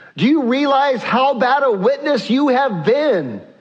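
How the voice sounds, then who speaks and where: A man speaks at a fairly slow pace and an extremely high pitch, with audible room echo. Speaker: pastor. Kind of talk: sermon.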